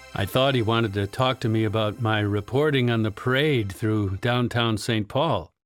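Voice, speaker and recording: This very clean recording has a silent background. A man speaks in an unremarkable speaking voice at medium pitch, with ordinary pitch variation. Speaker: audiobook narrator. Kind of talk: audiobook narration.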